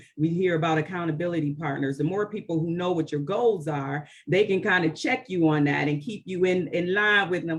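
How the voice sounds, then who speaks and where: Noticeable background noise sits under talking that moves fairly quickly. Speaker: behavioral health agency executive. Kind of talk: panel discussion.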